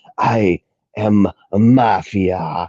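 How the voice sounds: A put-on character voice from a man, raspy and fairly low, in a strong Italian accent. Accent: heavy Italian.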